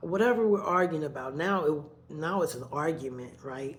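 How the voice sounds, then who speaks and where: Audible room echo around a woman's voice. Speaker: vlogger. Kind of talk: personal storytelling. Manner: loud, voice rises when talking; repetitive, conversational.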